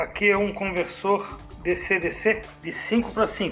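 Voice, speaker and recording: A man speaks with music in the background. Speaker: car audio repair technician. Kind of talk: casual workshop narration.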